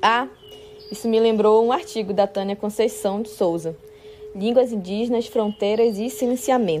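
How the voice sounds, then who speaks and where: A plain, everyday voice from a woman, pitched fairly high, its pitch varying in an ordinary way. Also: moderate pace. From northwestern Amazonas, Brazil (São Gabriel da Cachoeira). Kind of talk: personal testimony.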